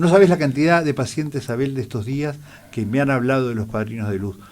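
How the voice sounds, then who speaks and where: At a moderate pace, a man speaks in a medium pitch with lively intonation. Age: 60s. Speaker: eye doctor. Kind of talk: radio interview. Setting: radio studio.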